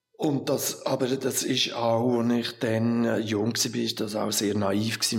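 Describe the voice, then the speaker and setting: With noticeable background noise behind him, a man speaks at a fairly low pitch with fairly even intonation. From Switzerland, Lucerne. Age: 60s. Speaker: art museum director. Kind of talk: interview. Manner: halting.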